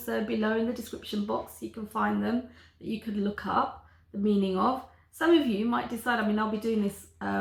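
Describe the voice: Someone reads aloud plainly. Nothing more is added to the reading.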